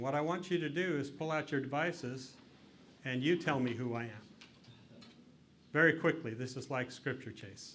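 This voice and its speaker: There is audible room echo as a man with a western US accent speaks in a fairly high pitch. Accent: western American. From Utah. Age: 60s. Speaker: lecturer, former state politician. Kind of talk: interactive lecture.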